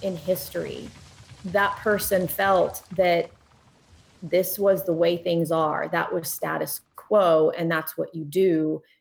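Noticeable background noise runs through the clip. A woman talks at a very slow pace. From US, born in Poland. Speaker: journalist and diver. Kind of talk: interview.

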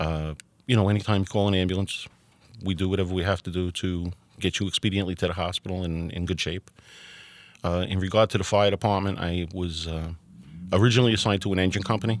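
In a very clean recording with a silent background, a man with a very deep, low pitch and a New Jersey accent talks very fast with fairly even intonation and long, frequent pauses. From Hoboken, New Jersey. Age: 50s. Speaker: firefighter and volunteer EMT. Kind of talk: interview testimony.

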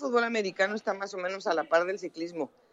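Her voice sits at a medium pitch, and the woman speaks with ordinary pitch variation. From Mexico. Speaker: sports journalist and commentator. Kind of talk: interview. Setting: phone call. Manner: halting.

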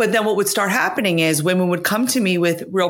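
With an unremarkable speaking voice, a woman talks in a fairly low pitch that varies in an ordinary way. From US, blue-collar Italian immigrant family. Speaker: author, former finance executive. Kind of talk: interview.

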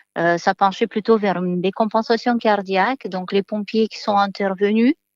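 Here a woman speaks with fairly even intonation. The sound is dry and close, with no echo. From Moldova. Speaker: nursing home nurse. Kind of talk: testimony.

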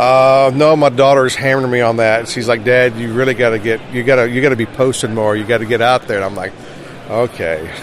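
Talking at a very fast pace, a man with an American accent uses a medium pitch and fairly even intonation over noticeable background noise. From South Carolina. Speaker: fantasy card illustrator. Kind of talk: interview. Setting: convention floor.

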